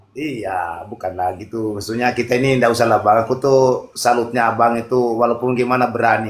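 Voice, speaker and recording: A man with an ordinary speaking voice talks at a fairly quick pace with hardly any pauses, his medium pitch carrying fairly even intonation. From Mandar, West Sulawesi, Indonesia. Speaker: caller in online religious debate room. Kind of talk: casual debate chat.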